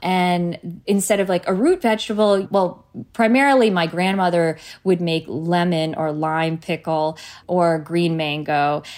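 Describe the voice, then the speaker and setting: With an American accent and a plain, everyday voice, a woman speaks at a fairly slow pace, fairly low in pitch, with ordinary pitch variation. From New Jersey, US. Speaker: cookbook author and food brand founder. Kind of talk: casual interview chat.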